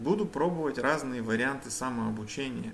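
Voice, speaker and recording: Speaking at a moderate pace, a man shows ordinary pitch variation and vocal fry. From Kazakhstan, Almaty. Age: 40s. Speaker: language learner vlogger. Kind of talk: reading aloud a prepared bilingual text. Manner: halting, self-correcting.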